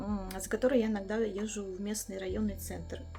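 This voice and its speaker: Music plays in the background as a woman talks at a moderate pace, with audible room echo. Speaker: village lifestyle vlogger. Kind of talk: casual vlog chat.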